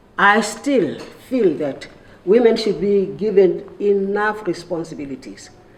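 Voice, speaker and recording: A woman's medium-pitched voice with lively intonation at a very slow pace, against noticeable background noise. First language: Sesotho. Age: 80s+. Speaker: retired civil servant and activist. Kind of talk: roundtable speech. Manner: halting.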